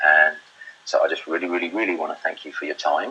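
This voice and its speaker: Noticeable background noise surrounds this man's voice. He talks at a very fast pace in a British accent. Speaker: property investor and webinar presenter. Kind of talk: webinar presentation. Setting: live webinar broadcast. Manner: loud.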